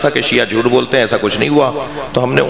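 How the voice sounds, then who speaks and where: A man talks over noticeable background noise. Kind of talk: sermon answering questions. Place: hall. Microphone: podium.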